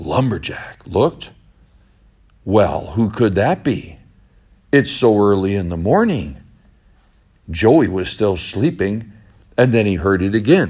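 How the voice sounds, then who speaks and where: At a very slow pace with long, frequent pauses, the voice has a playful tone and lively intonation. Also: man, fairly low pitch for a man. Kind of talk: bedtime story told aloud, with character voices. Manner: folksy, unhurried storyteller, slightly halting, with playful character voices.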